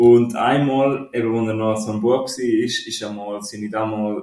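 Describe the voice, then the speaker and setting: Against noticeable background noise, a man speaks fairly slowly at medium pitch with fairly even intonation. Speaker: film podcast co-host. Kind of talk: casual chat. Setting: shared mic in military barracks.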